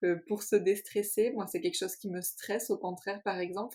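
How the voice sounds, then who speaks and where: A woman's calm, medium-pitched voice at a moderate pace, with ordinary pitch variation. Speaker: podcast co-host. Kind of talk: casual chat.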